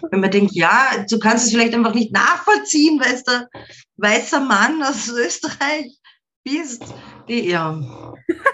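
A woman with a high voice and lively intonation talks very slowly. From Austria, market town. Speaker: rock musician. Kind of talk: interview.

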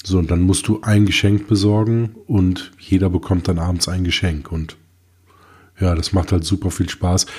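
A very deep, low-pitched man, somewhat breathy, at a moderate pace with fairly even intonation, on a very clean recording with a silent background. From Germany. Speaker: tech podcast co-host. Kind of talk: casual chat.

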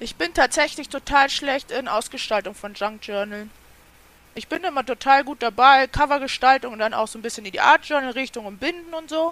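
Her loudness swings in big jumps as a woman talks at a high pitch with lively intonation. The pace is fairly quick, and the sound is dry and close with no echo. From Germany, near Kassel (northern Hesse). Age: 30s. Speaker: YouTube crafting creator. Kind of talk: casual interview chat.

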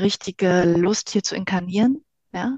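A woman's medium-pitched voice at a very slow pace, in a dry, close sound with no echo. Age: 50s. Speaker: life coach. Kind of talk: casual interview.

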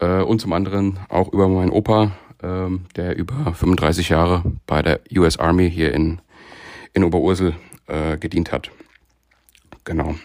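A man with a very deep, low pitch talks at a fairly slow pace, leaving long, frequent pauses. His intonation is fairly even, and the recording is very clean with a silent background. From Frankfurt area, Hesse, Germany. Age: 30s. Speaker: amateur baseball player, fan contributor. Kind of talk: recorded monologue season review.

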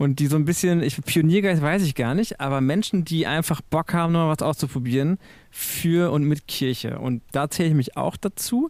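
A man with a plain, everyday voice speaks at a fairly high pitch and a moderate pace, with ordinary pitch variation. His loudness stays very even on a very clean recording with a silent background. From Münsterland, western Germany. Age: 40s. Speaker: church media editor. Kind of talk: podcast interview.

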